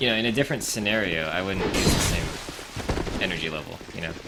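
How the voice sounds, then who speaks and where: Noticeable background noise and audible room echo surround the recording. A man speaks at a fairly low pitch and a moderate pace. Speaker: game streamer. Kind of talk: gameplay commentary. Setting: live stream. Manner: low-key, measured energy.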